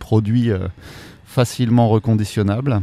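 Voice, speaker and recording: This man's voice sits fairly low and has a dark, mellow tone. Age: 40s. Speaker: career changer, future bike repairer. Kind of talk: interview. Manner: halting, many fillers.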